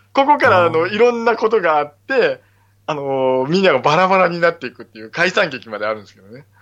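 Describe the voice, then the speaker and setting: Against background music, a man speaks very fast at a high pitch, with very wide pitch swings and big swings in loudness. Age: 40s. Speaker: stage actor and theater crew, podcaster. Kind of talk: casual chat. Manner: animated.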